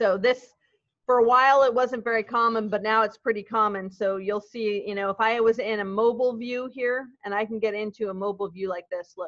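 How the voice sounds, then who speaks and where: Her speaking voice is unremarkable, and she talks at a fairly quick pace. This woman's pitch is fairly high, with fairly even intonation. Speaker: web development teacher. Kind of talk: classroom lecture. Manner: casual, conversational.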